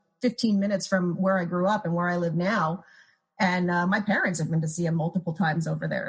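A woman with an American accent speaks at a fairly quick pace. Her pitch is fairly low, with ordinary variation. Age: 40s. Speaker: music critic. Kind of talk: casual chat.

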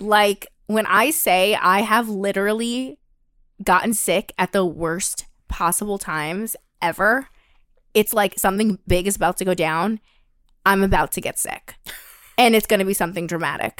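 A woman speaks at a moderate pace with long, frequent pauses. Her medium-pitched voice has ordinary pitch variation on a very clean recording with a silent background. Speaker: podcast host. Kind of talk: casual chat.

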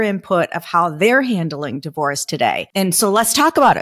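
A plain, everyday voice from a woman at medium pitch and moderate pace, in a very clean recording with a silent background. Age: 50s. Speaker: podcast host. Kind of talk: casual monologue.

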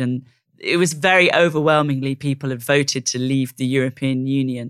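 In a very clean recording with a silent background, a woman talks with a Welsh accent. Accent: Welsh-tinged British English. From South Wales. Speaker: investigative journalist. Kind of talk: interview conversation.

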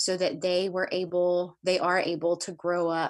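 A woman with an American accent, an unremarkable speaking voice, fairly low pitch, and a fairly slow pace. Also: quiet background. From US South. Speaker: adoptive mother of four. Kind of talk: casual interview.

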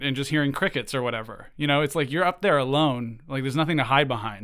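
Pitched fairly high, a man uses an ordinary speaking voice whose pitch varies in an ordinary way. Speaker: podcast creator. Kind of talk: interview.

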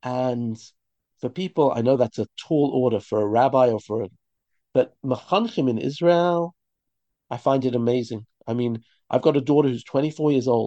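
Speaking with a British accent at a moderate pace, a man with a dark, mellow tone and medium pitch shows ordinary pitch variation and leaves long, frequent pauses, all in a dry, close sound with no echo. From London, England. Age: 50s. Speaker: rabbi and teacher. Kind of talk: interview conversation. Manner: halting, repetitive.

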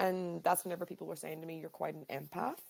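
A woman with a Northern Irish accent. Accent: Derry Northern Irish. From Northern Ireland, Derry. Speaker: educator, podcast host. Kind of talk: casual interview chat.

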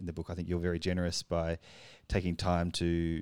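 Recorded dry and close with no echo over a silent background, a man with an Australian accent speaks in a very deep, low, dark and mellow voice, monotone and flat, at a moderate pace. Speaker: podcast co-host, publisher. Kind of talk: conversational interview.

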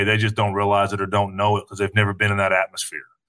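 In a very clean recording with a silent background, a man speaks with an East Tennessee accent and a bright, sharp tone. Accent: Southern US (East Tennessee). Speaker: retired football player. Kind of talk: casual chat.

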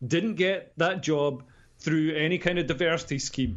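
The man's pitch is high. He speaks at a moderate pace. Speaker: comedian and political commentator. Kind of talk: interview.

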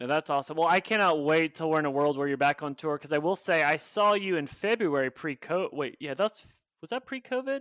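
A man with an American accent, fairly high-pitched, speaking very fast with hardly any pauses, lively intonation and big swings in loudness, in a dry, close sound with no echo and a very clean recording over a silent background. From Oklahoma. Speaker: podcast host, growth marketer. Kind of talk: interview.

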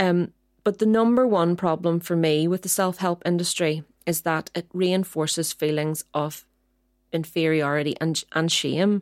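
A woman speaks at a fairly slow pace in a plain, everyday voice, her pitch fairly low and her intonation fairly even. The recording is very clean with a silent background and a dry, close sound with no echo. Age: 40s. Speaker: podcast co-host, doctor. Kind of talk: casual chat.

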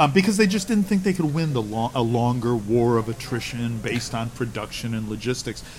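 A man with an American accent speaks at a medium pitch and a fairly quick pace. His intonation is lively and his voice is somewhat breathy. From United States. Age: 60s. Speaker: military historian. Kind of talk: casual interview.

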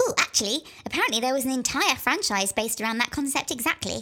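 A female-sounding voice speaks in a put-on character voice at a high pitch. The pace is very fast. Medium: audio drama.

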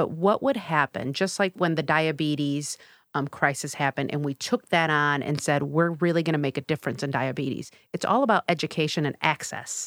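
Fairly quick speech in an American accent, ordinary pitch variation, dry and close with no echo, very clean recording and silent background. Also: woman, very deep, low pitch for a woman. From US Midwest, south side of Chicago. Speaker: clinical psychologist and nonprofit director. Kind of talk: podcast interview.

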